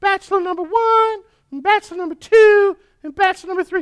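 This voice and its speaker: In a put-on character voice, the speaker rattles along at a very fast pace with an extremely high pitch. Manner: comedic.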